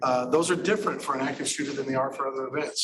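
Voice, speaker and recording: Noticeable background noise sits behind this man's voice. He has a fairly high pitch and fairly even intonation. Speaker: emergency management presenter. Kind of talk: presentation. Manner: fast.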